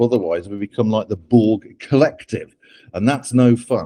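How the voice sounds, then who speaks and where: A man's medium-pitched voice with a dark, mellow tone and a British accent, at a moderate pace, in a dry, close sound with no echo. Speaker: AI ethics author and speaker. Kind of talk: talk to interns.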